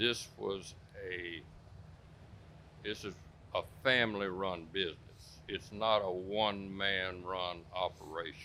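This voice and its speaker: A man speaks at a very slow pace with long, frequent pauses. His pitch is very deep and low, and his tone is bright and sharp. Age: 80s+. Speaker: dirt track racer and racetrack owner. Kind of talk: interview answer.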